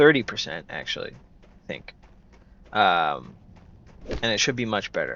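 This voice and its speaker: A man speaks quietly. His pace is moderate. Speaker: gaming YouTuber. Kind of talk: let's play commentary. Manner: quiet, low volume; casual, conversational.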